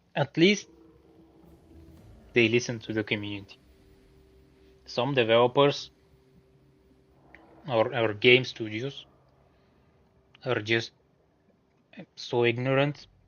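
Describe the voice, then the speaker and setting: Speaking at a fairly slow pace with a non-native accent, a man at medium pitch uses fairly even intonation and takes long, frequent pauses. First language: not English. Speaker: gaming streamer. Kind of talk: live gameplay stream with chat reading. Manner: casual, relaxed.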